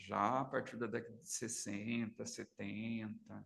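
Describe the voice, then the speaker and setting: A man speaks at a medium pitch. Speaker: psychoanalyst. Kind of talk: seminar lecture. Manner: soft-spoken; halting. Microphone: too quiet, mic needs to be moved closer.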